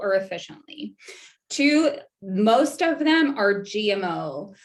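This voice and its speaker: A normal speaking voice carries lively intonation. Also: woman. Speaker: registered nurse and wellness educator. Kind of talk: online presentation.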